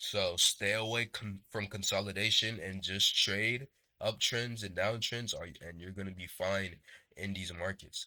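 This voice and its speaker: A man's fairly low, bright, sharp voice at a fairly slow pace, with fairly even intonation and big swings in loudness. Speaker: day trading educator. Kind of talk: tutorial. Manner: casual, halting with stumbles.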